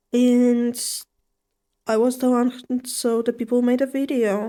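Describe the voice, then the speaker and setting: Fairly slow and relaxed, a woman speaks at a high pitch with a dark, mellow tone. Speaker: streamer. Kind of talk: gaming livestream commentary. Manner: relaxed, low-energy.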